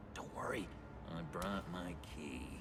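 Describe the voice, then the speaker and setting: Loud background noise surrounds a man doing a put-on character voice. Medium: video game. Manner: rambling, jokey.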